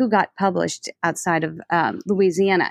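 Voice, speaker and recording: A woman speaks at a moderate pace with fairly even intonation in an ordinary speaking voice. The sound is dry and close, with no echo. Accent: American. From New Orleans, US. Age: 40s. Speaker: interior designer and business owner. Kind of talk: interview.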